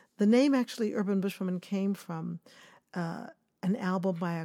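A woman speaks at a moderate pace in a fairly low pitch, her tone dark and mellow, on a very clean recording with a silent background. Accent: American. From Kansas City, Missouri. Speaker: choreographer. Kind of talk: interview.

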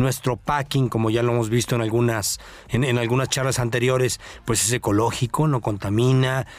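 Speaking at a moderate pace, a man with a medium pitch keeps a monotone, flat intonation and very even loudness. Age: 50s. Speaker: radio co-host. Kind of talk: radio chat. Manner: halting, many repeated words.

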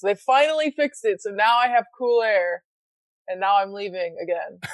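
A woman talks in a plain, everyday voice at a moderate pace with ordinary pitch variation. The sound is dry and close with no echo. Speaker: podcaster. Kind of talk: casual chat. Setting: live stream.

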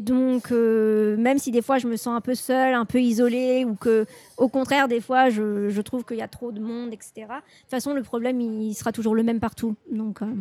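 A woman's dark, mellow voice runs on with hardly any pauses, her intonation flat and monotone. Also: fairly high pitch for a woman, moderate pace. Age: 20s. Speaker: journalist. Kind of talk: interview.

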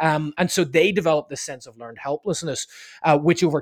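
In a Northern Irish accent, a man talks with a fairly high pitch and ordinary pitch variation, the sound dry and close with no echo on a very clean recording with a silent background. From Northern Ireland, Belfast. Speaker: leadership consultant and author. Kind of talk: interview.

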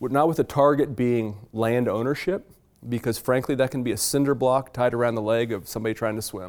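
In a very clean recording with a silent background, a man with an American accent speaks at a moderate pace and medium pitch. His is a normal speaking voice with fairly even intonation. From Virginia, US South. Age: 40s. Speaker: farmer and author. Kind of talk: public talk to a library audience.

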